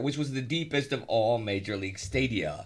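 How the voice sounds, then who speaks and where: Using a plain, everyday voice, a man with an American accent talks at a fairly quick pace with lively intonation. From Texas, Houston. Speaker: podcast host, baseball historian. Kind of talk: casual chat.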